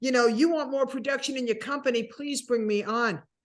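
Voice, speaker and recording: Speaking in an American accent, a woman keeps a fairly quick pace. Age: 60s. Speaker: keynote speaker. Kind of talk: interview answer. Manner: funny, lively.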